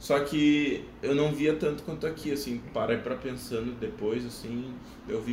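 A man at a moderate pace with ordinary pitch variation, audible room echo and noticeable background noise. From southern Brazil, Porto Alegre. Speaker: exchange volunteer and videographer. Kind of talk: casual chat.

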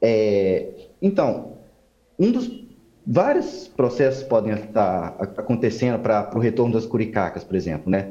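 At a fairly slow pace, a man with a plain, everyday voice speaks at medium pitch, his intonation lively and his loudness very even. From Minas Gerais, Belo Horizonte. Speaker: ecologist. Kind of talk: interview.

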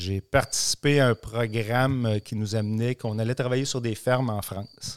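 A man speaks at a medium pitch with fairly even intonation. The recording is very clean with a silent background and a dry, close sound with no echo. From Quebec, Centre-du-Québec (dairy farm near Warwick). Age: 40s. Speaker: agronomy sales rep for seed company. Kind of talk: casual interview.

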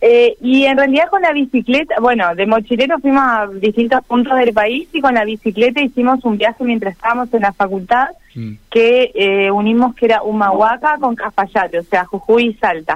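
A woman's fairly high, normal speaking voice at a moderate pace, with hardly any pauses and ordinary pitch variation. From Argentina, northern Santa Fe province. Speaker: long-distance cycling traveler and lawyer. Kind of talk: radio interview.

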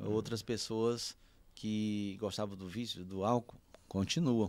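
This man has a medium pitch with ordinary pitch variation. The recording is very clean, with a silent background. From Piauí, Brazil (União, rural). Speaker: pastor. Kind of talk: casual interview.

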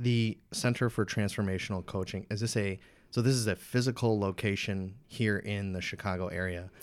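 A man with a normal speaking voice, fairly even intonation and a moderate pace, on a very clean recording with a silent background. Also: fairly low pitch for a man. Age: 20s. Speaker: podcast host. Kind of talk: podcast intro; interview.

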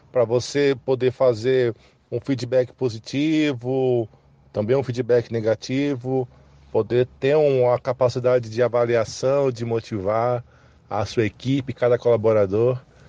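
Speaking at a medium pitch, a man has a dark, mellow tone and a monotone, flat intonation. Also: fairly slow pace, dry, close sound with no echo. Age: 30s. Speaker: production engineer. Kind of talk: interview.

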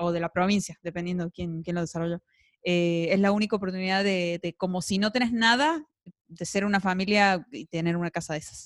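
A woman with an unremarkable speaking voice talks at a fairly quick pace and medium pitch, with ordinary pitch variation, big swings in loudness, and a dry, close sound with no echo. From Argentina. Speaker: podcast co-host. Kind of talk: casual chat. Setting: studio.

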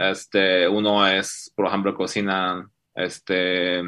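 Bright, sharp tone from a man with a very deep, low pitch. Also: quiet background. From China. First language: Chinese (speaking Spanish). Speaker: fintech CEO. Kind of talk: interview.

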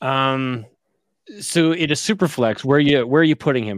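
A man speaks at a moderate pace with ordinary pitch variation, in a normal speaking voice. The recording is very clean, with a silent background. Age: 40s. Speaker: fantasy football podcast host. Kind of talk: casual chat.

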